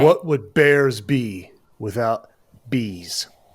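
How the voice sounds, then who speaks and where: A man performs a put-on character voice. It rumbles at a medium pitch. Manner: slow, Buddha-like.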